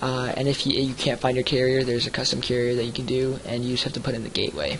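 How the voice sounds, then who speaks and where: A man with monotone, flat intonation at a very fast pace, over noticeable background noise. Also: medium pitch for a man. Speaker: software reviewer. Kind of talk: screen-recorded software review tutorial. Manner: many fillers, um and uh.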